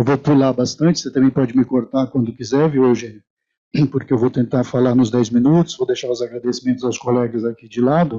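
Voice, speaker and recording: The tone is dark and mellow, with fairly even intonation. Delivery runs at a fairly quick pace over a quiet background. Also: man. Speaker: professor of education. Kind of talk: panel talk. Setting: stage with audience. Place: hall. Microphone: handheld.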